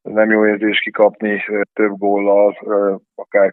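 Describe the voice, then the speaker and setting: At a very slow pace, a man speaks with a fairly low pitch. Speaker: handball coach. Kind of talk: sports interview.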